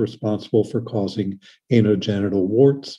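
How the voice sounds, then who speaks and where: The man's tone is dark and mellow. He talks fairly quickly. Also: quiet background. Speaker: pediatric surgeon; presenter. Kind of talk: lecture. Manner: fast. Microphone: webcam.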